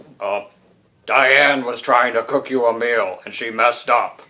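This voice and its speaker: Using a put-on character voice, a man speaks in a raspy, medium-pitched tone at a moderate pace. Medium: actual play. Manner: scheming.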